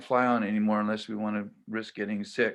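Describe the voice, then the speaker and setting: The pace is fairly slow. The background stays quiet. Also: man. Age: 70s. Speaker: poetry open mic host. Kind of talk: introducing a poet. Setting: video call.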